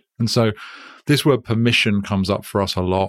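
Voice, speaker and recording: A man with a British accent speaks at a fairly quick pace in a monotone, flat intonation, recorded dry and close with no echo on a very clean track with a silent background. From Britain. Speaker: company founder. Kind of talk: interview conversation.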